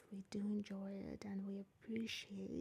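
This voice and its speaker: A soft-spoken, somewhat breathy voice with a calm, dark, mellow tone at a very slow pace. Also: woman. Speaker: tarot reader and spiritual medium. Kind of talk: ASMR tarot reading. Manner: soft-spoken, calm.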